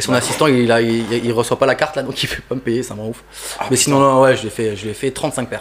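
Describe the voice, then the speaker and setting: Noticeable background noise accompanies a man at a medium pitch. He talks at a very fast pace with fairly even intonation. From France, Toulouse (grew up). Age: 20s. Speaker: sneaker customizer artist. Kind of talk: casual interview chat.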